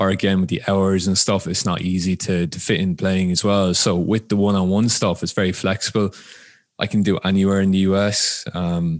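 A man with a very deep, low voice and an Irish accent, monotone and flat in intonation. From Ireland. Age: 20s. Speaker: football coach and player. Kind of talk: casual interview chat.

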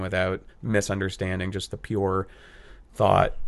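In monotone, flat intonation, a man with a fairly low pitch speaks over a quiet background. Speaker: actor and new stand-up comedian. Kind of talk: casual chat. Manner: rambly, self-deprecating.

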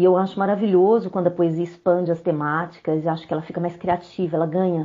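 At a fairly quick pace, a woman talks in an unremarkable speaking voice with medium pitch. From Brazil, Belo Horizonte, Minas Gerais. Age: 40s. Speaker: poet. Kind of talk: interview.

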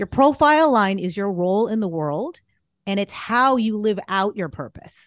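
A woman with an American accent and a plain, everyday voice talks at a moderate pace and medium pitch, her intonation lively. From Boston area, US. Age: 40s. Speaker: business strategist and astrologer. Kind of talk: casual interview.

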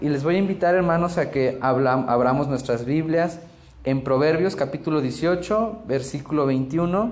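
Against noticeable background noise and audible room echo, a man with a fairly high voice speaks at a fairly slow pace, his loudness very even and his pitch variation ordinary. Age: 20s. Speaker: guest preacher, bible school student. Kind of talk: sermon.

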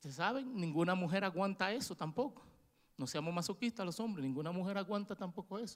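A man talks at a very fast pace with a Dominican accent. His pitch is high. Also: ordinary pitch variation. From Dominican Republic. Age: 40s. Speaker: preacher. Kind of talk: sermon. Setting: church.

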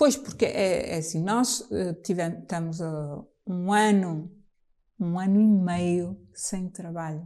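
Speaking at a very slow pace, a woman has a dark, mellow tone at a fairly low pitch, with ordinary pitch variation. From Trás-os-Montes, Portugal (Bragança). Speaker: jazz singer. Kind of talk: casual chat. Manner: halting.

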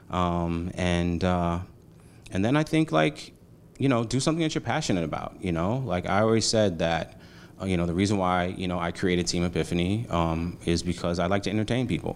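Speaking at a fairly quick pace, a man with a New York accent has a very deep, low pitch. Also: ordinary pitch variation. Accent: New York City. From Brooklyn, New York. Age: 40s. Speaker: marketing agency founder. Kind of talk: casual interview. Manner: animated.

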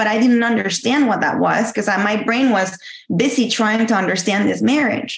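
A woman with a Spanish accent talks at a fairly quick pace with ordinary pitch variation. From Mexico. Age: 40s. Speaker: caller. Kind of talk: testimony.

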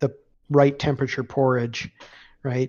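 A man with a medium pitch speaks moderately fast in a flat, monotone way. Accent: Upper Midwest. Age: 50s. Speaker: retired navy veteran and gamer. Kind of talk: casual chat.

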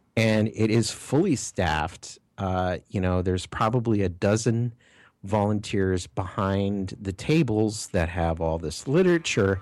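A man with a normal speaking voice and an American accent, fairly low in pitch, fairly slow, with ordinary pitch variation, on a very clean recording with a silent background. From Minnesota. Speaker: podcast co-host. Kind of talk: casual chat.

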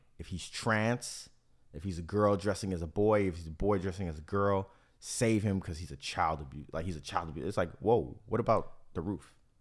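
Fairly quick and very deep, a man's voice shows ordinary pitch variation. His loudness swings widely. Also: very clean recording, silent background. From Miami. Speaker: podcast host. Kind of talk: casual chat.

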